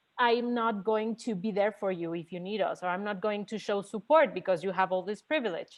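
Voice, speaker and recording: A woman speaks at a moderate pace with a Mexican accent. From Mexico. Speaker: audience member asking a question. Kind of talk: Q&A question at an online conference session. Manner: halting, repeats words.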